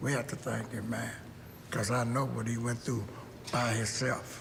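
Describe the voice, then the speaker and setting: With audible room echo, a man speaks at a moderate pace and a medium pitch. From Kentucky, Lexington. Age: 80s+. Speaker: former baseball player. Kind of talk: documentary interview.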